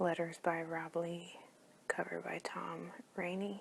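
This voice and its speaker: Soft-spoken throughout, this voice moves at a very slow pace. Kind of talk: ASMR comic book review.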